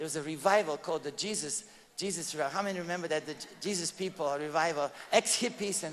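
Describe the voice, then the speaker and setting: A man's high-pitched voice with a Bulgarian accent and ordinary pitch variation. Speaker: evangelist giving testimony. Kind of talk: testimony. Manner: halting, with many repetitions.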